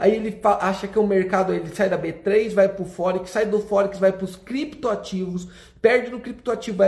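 An animated, high-pitched male voice at a moderate pace with ordinary pitch variation. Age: 30s. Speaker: finance influencer. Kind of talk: motivational talk. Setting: hotel room.

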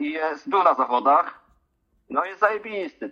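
A man's very fast delivery with lively intonation. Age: 30s. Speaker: skateboarder and clinical research coordinator. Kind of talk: casual interview.

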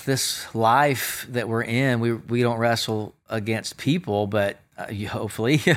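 A normal speaking voice at a moderate pace, with hardly any pauses. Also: man. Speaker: pastor and podcast host. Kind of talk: casual encouraging talk, faith-based. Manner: upbeat, encouraging.

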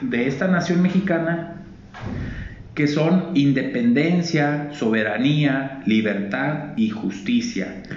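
There is noticeable background noise and audible room echo. A man with a fairly high voice speaks at a very slow pace. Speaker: radio co-host. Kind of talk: casual chat. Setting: live broadcast from a library.

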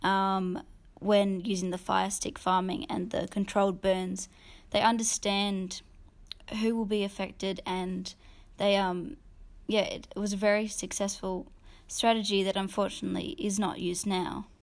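Speaking with an Australian accent, a woman holds a medium pitch and fairly even intonation. The recording is very clean with a silent background. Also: fairly slow pace. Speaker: podcast co-host. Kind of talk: casual discussion.

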